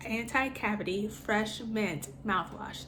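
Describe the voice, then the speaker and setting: A woman with an American accent at a medium pitch, fairly even in intonation, with audible room echo and noticeable background noise. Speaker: cancer patient vlogger. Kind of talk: casual product review vlog. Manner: hesitant with frequent fillers.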